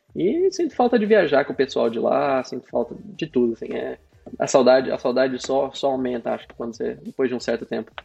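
Over noticeable background noise, a man speaks with big swings in loudness. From Brazil, interior of Paraná (near Londrina). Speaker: cloud specialist. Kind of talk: casual interview.

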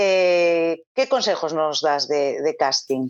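A woman's voice with a quiet background. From Galicia, Spain. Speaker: actress. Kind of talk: casual chat.

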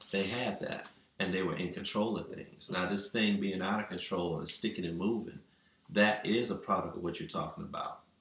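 A man speaks at a moderate pace in a fairly low pitch, his intonation fairly even, with audible room echo around him. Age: 50s. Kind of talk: casual chat.

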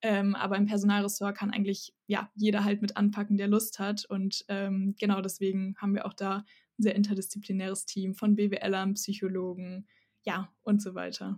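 A woman's somewhat breathy, medium-pitched voice, monotone and flat, at a moderate pace. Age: 20s. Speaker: psychology student. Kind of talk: podcast interview.

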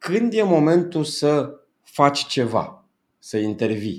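This is a man's voice. His pitch is fairly high. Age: 40s. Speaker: business coach. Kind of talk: interview.

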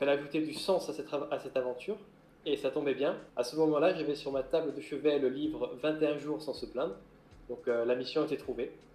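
His voice has a dark, mellow tone. This man speaks at a fairly high pitch with fairly even intonation. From Corsica. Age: 30s. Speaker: maritime gendarme and adventurer. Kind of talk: interview.

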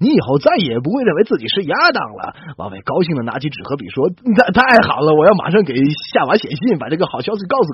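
Natural-sounding voice reading aloud

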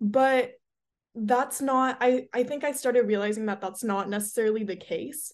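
A woman speaks with an American accent in a high pitch. The background is quiet. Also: ordinary pitch variation, moderate pace. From Southern California (Hermosa Beach). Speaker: college student, mental health advocate. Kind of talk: casual interview.

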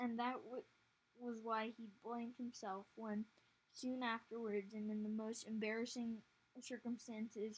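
Someone reads the text aloud in a natural voice.

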